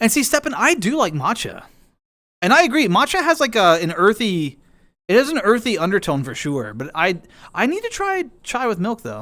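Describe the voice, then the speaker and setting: In an American accent, a man speaks at a moderate pace with a high pitch that swings very widely. His voice is raised and projected, its tone bright and sharp. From US South, East Coast. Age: 50s. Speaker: streamer. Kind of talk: casual chat. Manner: halting, frequent false starts.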